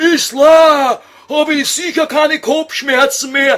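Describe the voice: Using a put-on character voice in a Viennese accent, a man speaks slowly at an extremely high pitch, his tone fairly bright and his intonation fairly even.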